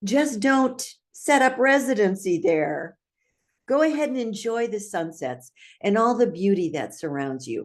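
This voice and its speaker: Against a quiet background, a woman speaks at a fairly slow pace. Her tone is upbeat, with very wide pitch swings. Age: 80s+. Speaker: trainer, speaker, author, coach. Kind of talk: inspirational talk to camera.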